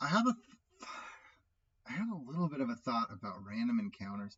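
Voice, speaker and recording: A man's voice comes through somewhat breathy. His pitch swings very widely. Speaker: solo tabletop RPG player and YouTuber. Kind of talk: solo game playthrough commentary. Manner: halting, self-correcting; casual, conversational.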